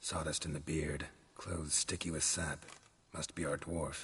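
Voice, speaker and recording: Putting on a character voice, a man speaks in a very deep, low register with monotone, flat intonation. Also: moderate pace. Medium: video game. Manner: terse, low-key, clipped.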